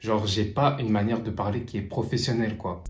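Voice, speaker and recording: A man at a very fast pace, amid audible room echo and noticeable background noise. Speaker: online business vlogger. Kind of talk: vlog narration. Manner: casual, informal.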